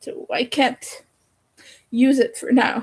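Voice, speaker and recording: This woman has a high-pitched voice and speaks with a French accent. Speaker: crochet streamer. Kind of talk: casual live stream chat. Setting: live stream at home in the dark.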